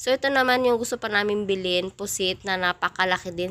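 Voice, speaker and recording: With a bright, sharp tone, a woman talks at a fairly quick pace. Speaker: vlogger. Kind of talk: casual vlog narration.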